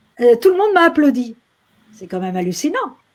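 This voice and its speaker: A woman speaks in a high pitch with very wide pitch swings. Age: 60s. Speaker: actress and activist. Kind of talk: interview. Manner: animated.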